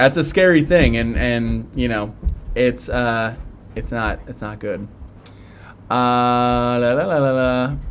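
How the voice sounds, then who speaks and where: A man with a Philadelphia accent, at a very slow pace with long, frequent pauses. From South Philadelphia. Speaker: tattoo live streamer. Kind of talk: live stream chat and Q&A. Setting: live stream. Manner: casual, halting with fillers.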